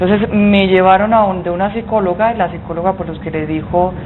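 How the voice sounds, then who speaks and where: A woman speaks very fast at a medium pitch, her intonation fairly even. Audible room echo and noticeable background noise fill the recording. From Colombian Caribbean coast, Santa Marta. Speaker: business association executive, former minister. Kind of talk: TV interview.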